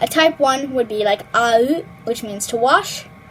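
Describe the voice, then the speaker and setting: Over noticeable background noise, a woman with a high voice speaks at a moderate pace with lively intonation. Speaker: language tutorial youtuber. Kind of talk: tutorial. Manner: casual, filler-heavy.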